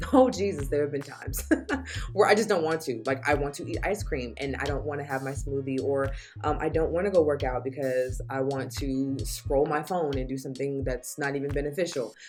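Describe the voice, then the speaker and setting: A woman with a very deep, low pitch and ordinary pitch variation, at a fairly quick pace, with music in the background. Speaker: lifestyle vlogger. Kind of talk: casual vlog monologue. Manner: animated, repetitive emphasis.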